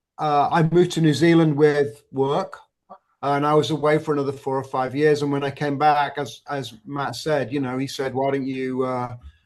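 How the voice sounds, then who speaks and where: In a Manchester accent, a man with a fairly high pitch speaks at a moderate pace in a monotone, flat way. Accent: northern English (Manchester area). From northern England, near Manchester. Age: 60s. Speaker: tribute band drummer. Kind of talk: podcast interview.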